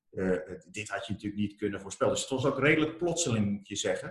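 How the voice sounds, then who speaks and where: Somewhat breathy, a man rattles through his words at a very fast pace. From Armenia. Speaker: entrepreneur, company founder. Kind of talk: interview.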